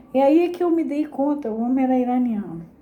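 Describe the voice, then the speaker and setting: A Rio de Janeiro accent with lively intonation at a moderate pace, amid noticeable background noise and audible room echo. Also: woman. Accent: Rio de Janeiro (carioca). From Brazil, Rio de Janeiro. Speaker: psychoanalysis teacher. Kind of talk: lecture with reading aloud.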